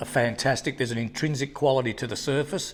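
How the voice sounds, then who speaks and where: Medium-pitched male voice with an Australian accent. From Tasmania, Australia (Hobart). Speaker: artist. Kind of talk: interview. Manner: halting.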